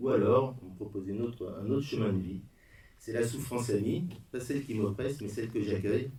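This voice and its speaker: A man speaks in a dark, mellow tone that is somewhat breathy. His intonation is fairly even. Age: 60s. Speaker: bereaved father giving a talk. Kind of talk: testimony. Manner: halting.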